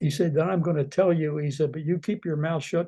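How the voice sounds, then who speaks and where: A man with an American accent, fairly high-pitched, somewhat breathy, with a dark, mellow tone. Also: quiet background. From southeastern Pennsylvania. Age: 90s. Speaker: retired defense engineer. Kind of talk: oral history talk. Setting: webinar. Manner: halting, many fillers.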